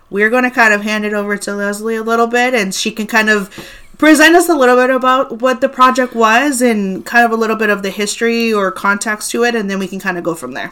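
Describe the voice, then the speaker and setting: A woman's fairly high-pitched, a normal speaking voice, at a fairly quick pace with ordinary pitch variation. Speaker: podcast host. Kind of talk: casual chat.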